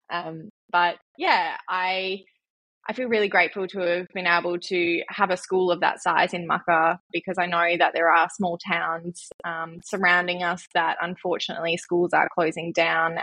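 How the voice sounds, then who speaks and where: With a bright, sharp tone, a woman speaks fairly slowly at a fairly low pitch in a monotone, flat delivery. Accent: Australian. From Western Australia, central wheatbelt. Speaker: mental health charity founder. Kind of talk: casual interview.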